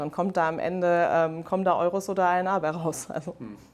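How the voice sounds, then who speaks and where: In an ordinary speaking voice, the speaker talks at a moderate pace with fairly even intonation on a very clean recording with a silent background. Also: woman. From Germany, Rhineland. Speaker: head of mergers and acquisitions at a manufacturer. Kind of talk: interview. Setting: conference venue.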